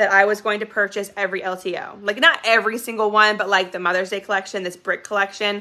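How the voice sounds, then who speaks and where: Speaking very fast in an animated tone, a woman uses a fairly high pitch. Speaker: direct sales consultant. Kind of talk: casual business vlog.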